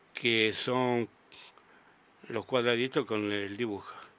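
The man's pitch is medium and his delivery fairly slow. His intonation stays monotone and flat, and the sound is dry with no echo. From Argentina. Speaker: sculptor; interviewee. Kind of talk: radio interview. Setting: radio studio. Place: booth. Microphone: studio mic.

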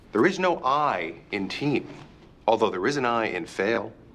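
Here a man speaks at a fairly slow pace. His tone is bright and sharp. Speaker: actor playing a stern instructor. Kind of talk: scripted drama dialogue, scolding lecture. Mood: sarcastic, scolding.

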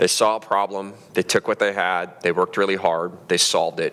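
Moderate pacing from a man. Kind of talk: public talk. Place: stage. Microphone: headset.

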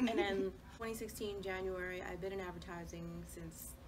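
Noticeable background noise is present. The woman talks at a moderate pace. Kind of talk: casual group conversation. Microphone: camera far.

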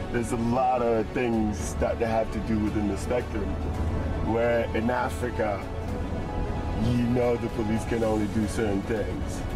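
A man speaks at a fairly slow pace over clear background music. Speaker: guest. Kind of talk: interview answer. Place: car.

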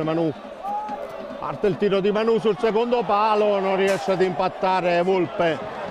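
Over noticeable background noise, a man talks at a high pitch with ordinary pitch variation and very even loudness. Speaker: football commentator. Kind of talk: live match commentary, rapid play-by-play over highlights. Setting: stadium.

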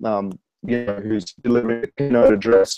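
A man with an Australian accent speaks at a moderate pace with fairly even intonation, his sound dry with no echo against a quiet background. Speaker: spoken word poet, author and rapper. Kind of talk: interview answer. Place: home room. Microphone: earbuds.

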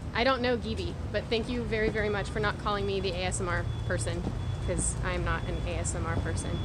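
A woman talks at a fairly quick pace. Loud background noise fills the recording. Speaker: live streamer vlogger. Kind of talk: casual chat. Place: street. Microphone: phone near.

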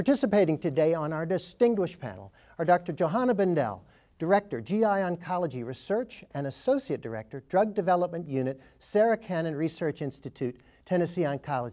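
Speech at a fairly quick pace over a quiet background. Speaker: panel moderator. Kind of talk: formal program introduction. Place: studio.

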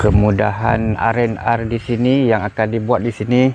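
Talking at a very slow pace with fairly even intonation, a man is recorded with a dry sound, no echo and light background noise. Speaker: travel vlogger. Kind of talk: casual vlog commentary. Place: open country. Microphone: phone near.

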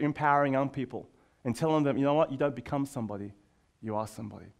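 Over a quiet background, a man with an Australian accent speaks with lively intonation. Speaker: youth leader and speaker. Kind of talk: conference talk. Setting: stage with audience. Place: classroom. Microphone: headset.

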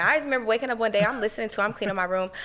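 A woman talks in an animated tone. She has an American accent. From Cincinnati, Ohio. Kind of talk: casual chat. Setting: studio. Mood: animated, playful storytelling. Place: studio. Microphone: studio mic.

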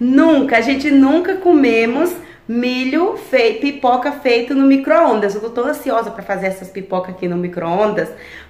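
The voice moves at a moderate pace. Audible room echo colors the recording. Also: woman, high pitch for a woman. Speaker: vlogger. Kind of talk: casual vlog chat. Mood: cheerful, excited. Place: kitchen. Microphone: phone near.

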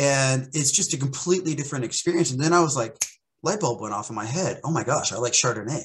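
A somewhat breathy man's voice with an American accent. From US, central Oklahoma. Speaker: sommelier and wine educator; wine educator. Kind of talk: casual interview chat. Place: home room. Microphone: video call.

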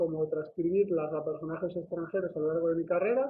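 This is a man with a high pitch. He speaks at a fairly quick pace. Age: 20s. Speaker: journalist. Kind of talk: video CV self-presentation. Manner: hesitant. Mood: formal, earnest.

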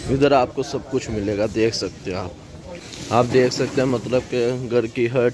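A man speaks in a dry recording with no echo, with noticeable background noise. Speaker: travel vlogger. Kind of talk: casual vlog chat. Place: market. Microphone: phone near.

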